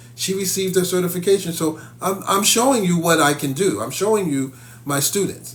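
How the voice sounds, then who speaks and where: Audible room echo surrounds a man speaking in an animated tone at a moderate pace. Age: 50s. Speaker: psychic medium and spiritual teacher. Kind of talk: live stream talk to viewers. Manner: animated, repetitive.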